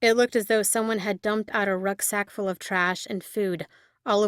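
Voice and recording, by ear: Someone is reading aloud in a natural voice, keeping the intonation fairly even.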